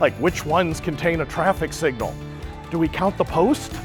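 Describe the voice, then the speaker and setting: Over music in the background, a man talks in an energetic tone at a moderate pace. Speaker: keynote speaker. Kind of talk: presentation to live audience. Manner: energetic, fun.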